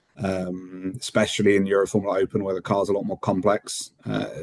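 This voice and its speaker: A man with a British accent, fairly low pitch, monotone, flat intonation and a moderate pace. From UK, moved to Netherlands at eight. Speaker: motorsport race engineer. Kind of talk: interview. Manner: many fillers and repetitions.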